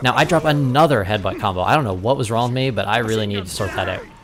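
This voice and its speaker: A man speaks at medium pitch with lively intonation. Noticeable background noise runs under him. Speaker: gaming commentator. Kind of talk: match commentary over gameplay. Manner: fast; casual, with frequent fillers.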